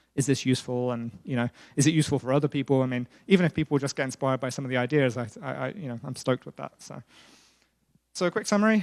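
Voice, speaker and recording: The speaker talks with a British accent. The pace is very fast. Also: man. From Britain. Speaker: software engineering lead. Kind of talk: tech conference talk. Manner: hesitant, many fillers.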